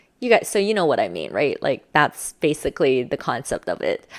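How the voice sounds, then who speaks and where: A woman speaks in an animated tone at a fairly quick pace, her pitch swinging very widely. Her voice carries vocal fry, and the recording is very clean with a silent background. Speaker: social skills coach. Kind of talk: tutorial.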